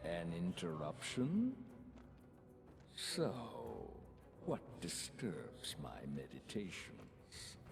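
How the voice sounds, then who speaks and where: Putting on a character voice, a man speaks very slowly at a very deep, low pitch, with long, frequent pauses and clear background noise. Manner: menacing.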